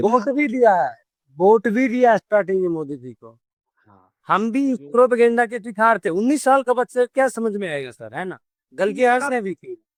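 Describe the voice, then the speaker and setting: A man's high voice with lively intonation and big swings in loudness, dry and close with no echo. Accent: Haryana. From Haryana, India. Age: 30s. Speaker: content creator. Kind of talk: interview answer. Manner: outspoken, blunt.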